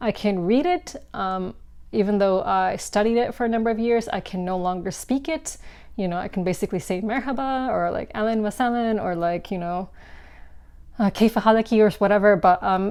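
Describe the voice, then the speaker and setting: A plain, everyday voice from a woman at a fairly quick pace, with ordinary pitch variation, on a very clean recording with a silent background. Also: medium pitch for a woman. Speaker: board game content creator. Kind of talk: casual vlog monologue. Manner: casual with many fillers.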